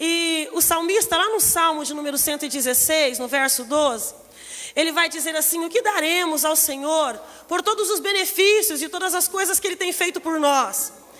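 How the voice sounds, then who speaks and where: At a moderate pace, a woman speaks with an extremely high pitch, ordinary pitch variation and a bright, sharp tone. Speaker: pastor. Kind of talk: sermon. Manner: soft-spoken at first, getting louder.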